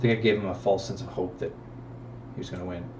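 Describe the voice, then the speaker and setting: A man's voice with audible room echo. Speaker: gaming YouTuber. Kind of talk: gameplay commentary. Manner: casual with frequent fillers.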